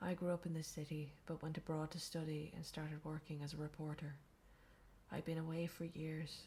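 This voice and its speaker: A soft-spoken, somewhat breathy woman with a very deep, low pitch, an Irish accent, a monotone, flat intonation and a fairly quick pace. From Ireland. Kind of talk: reading game character bios aloud. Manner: soft-spoken, quiet.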